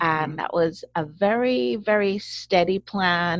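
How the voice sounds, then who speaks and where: This is a plain, everyday voice at a moderate pace. Its pitch variation is ordinary. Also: woman. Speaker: podcast host. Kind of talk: casual interview. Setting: video call.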